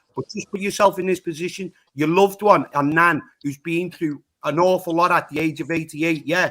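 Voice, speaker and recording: A man with a high pitch and a bright, sharp tone, in a Liverpool accent, at a fairly quick pace with fairly even intonation. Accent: Scouse (Liverpool). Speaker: panel participant. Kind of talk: heated debate.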